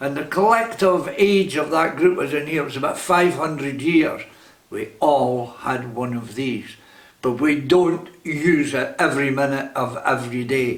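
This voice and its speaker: A man's fairly high voice with a Scottish accent, fairly slow pace and ordinary pitch variation, plus audible room echo and noticeable background noise. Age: 80s+. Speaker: vlogger. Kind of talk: direct-to-camera monologue.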